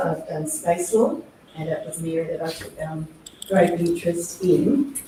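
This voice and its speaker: A woman with an Australian accent speaks at a fairly low pitch, with audible room echo and noticeable background noise. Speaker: investment banker and space lawyer. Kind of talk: interview. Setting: live podcast at a conference. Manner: many hesitations (um).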